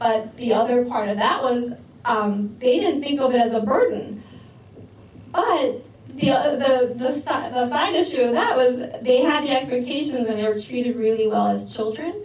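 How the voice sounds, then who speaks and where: At a moderate pace and with ordinary pitch variation, the voice comes through audible room echo and noticeable background noise. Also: woman, high pitch for a woman. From New York City, Korean-American community. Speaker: social work researcher and speaker. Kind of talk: presentation talk.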